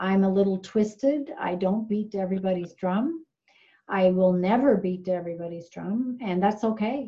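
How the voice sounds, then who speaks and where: A woman speaks at a moderate pace with a Newfoundland accent. Her tone is dark and mellow, and somewhat breathy. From Newfoundland, Canada (small fishing village). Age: 50s. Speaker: nurse. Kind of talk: casual interview. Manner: halting, many fillers.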